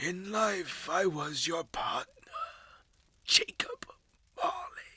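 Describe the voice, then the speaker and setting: A raspy, put-on character voice from a man, very slow and full of long, frequent pauses. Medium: read story. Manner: terse, grave.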